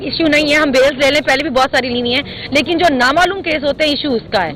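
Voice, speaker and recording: Over noticeable background noise, a woman speaks in a high voice with ordinary pitch variation. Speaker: politician. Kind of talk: press talk. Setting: outdoors.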